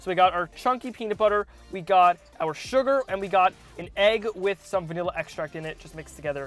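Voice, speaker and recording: Over faint music in the background, a man speaks with a high pitch and ordinary pitch variation, in a dry sound with no echo. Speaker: cooking video host. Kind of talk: casual vlog chat. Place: car. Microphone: lapel.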